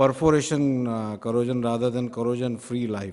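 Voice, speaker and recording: The voice is male and medium in pitch, a normal speaking voice. Intonation stays fairly even, and the pace is moderate. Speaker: steel industry expert speaker. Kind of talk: conference talk.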